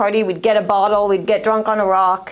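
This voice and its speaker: A woman with an American accent talks at a very fast pace. Noticeable background noise runs underneath. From New York City. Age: 30s. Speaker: recovery specialist. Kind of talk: testimony.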